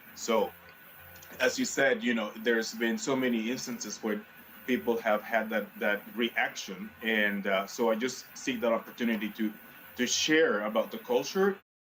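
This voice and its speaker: Ordinary pitch variation marks a man's medium-pitched voice with a Spanish accent. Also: moderate pace. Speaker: community leader. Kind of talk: TV panel discussion.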